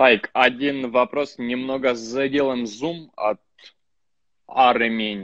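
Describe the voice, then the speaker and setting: A man talks at a very slow pace with long, frequent pauses against a quiet background. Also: fairly even intonation, dry sound with no echo. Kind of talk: interview. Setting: video call. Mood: calm, serious. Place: home room. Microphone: phone near.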